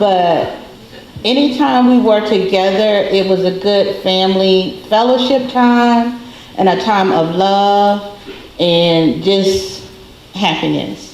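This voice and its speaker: The speech is very slow with very even loudness and ordinary pitch variation. Noticeable background noise and audible room echo are present. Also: woman, medium pitch for a woman. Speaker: relative of the deceased. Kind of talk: memorial tribute.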